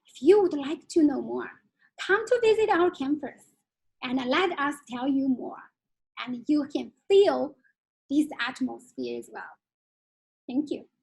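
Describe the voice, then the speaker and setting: A woman with a Chinese accent and a high pitch speaks at a fairly slow pace, with long, frequent pauses and big swings in loudness. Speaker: Chinese curriculum head teacher. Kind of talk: webinar Q&A answers. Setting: online webinar. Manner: halting.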